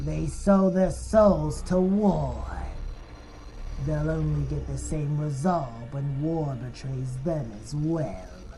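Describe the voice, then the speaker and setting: Over clear background noise, a cartoonish character voice speaks at a fairly slow pace. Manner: solemn, reflective.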